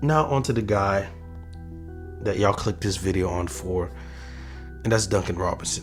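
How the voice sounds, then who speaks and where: With music in the background, a man with a fairly low pitch and lively intonation talks at a moderate pace, leaving long, frequent pauses. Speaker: basketball commentator. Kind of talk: casual sports commentary to camera.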